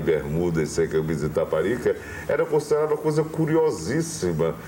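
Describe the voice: A man speaks at a moderate pace with a slight northeastern Brazilian accent. There is noticeable background noise. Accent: mild northeastern Brazilian.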